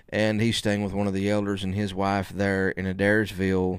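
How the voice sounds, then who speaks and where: Very deep and low, a man's voice carries a Southern US accent and a monotone, flat intonation. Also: very clean recording, silent background. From US South (Alabama area). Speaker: podcast host, preacher. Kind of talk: casual interview.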